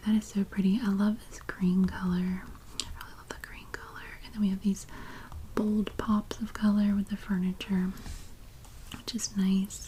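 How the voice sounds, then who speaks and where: Someone whispers, soft-spoken, at a moderate pace. Noticeable background noise can be heard. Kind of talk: ASMR magazine look-through. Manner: soft-spoken with some whispering.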